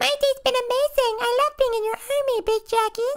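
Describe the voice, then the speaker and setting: A put-on character voice, extremely high in pitch and squeaky. It moves at a fairly quick pace. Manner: dopey and enthusiastic.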